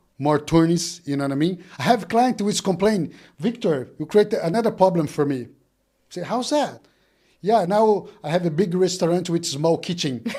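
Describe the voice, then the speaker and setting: With a Brazilian Portuguese accent, a man speaks at a moderate pace in a high pitch with a dark, mellow tone and lively intonation, on a very clean recording with a silent background. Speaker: business owner. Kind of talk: casual chat. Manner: halting, repeats words.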